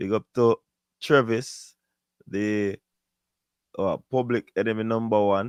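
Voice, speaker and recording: A man talks with a Jamaican accent. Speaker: sports show host. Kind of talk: live stream sign-off. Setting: live stream.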